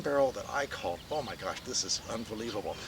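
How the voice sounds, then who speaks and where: Noticeable background noise runs under the clip. Over it, a man speaks in an enthusiastic tone. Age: 60s. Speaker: winemaker. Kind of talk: storytelling. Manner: casual, enthusiastic.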